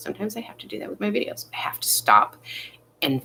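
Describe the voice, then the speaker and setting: This woman's voice sits at a very deep, low pitch. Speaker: vlogger giving life advice. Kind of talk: casual live monologue. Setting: in bed, live stream. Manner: fast, sometimes slurred.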